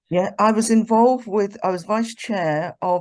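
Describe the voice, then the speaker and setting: A woman with a British accent talks at a moderate pace with ordinary pitch variation over a quiet background. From England, Birmingham. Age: 70s. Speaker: retired nurse and sickle cell pioneer. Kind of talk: interview. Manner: halting.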